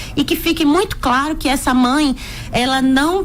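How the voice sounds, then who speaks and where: A high-pitched woman with an Alagoas accent, at a moderate pace with ordinary pitch variation, over noticeable background noise. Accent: northeastern Brazilian (Alagoas), noticeable. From Alagoas, northeast Brazil. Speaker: physician. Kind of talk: radio interview.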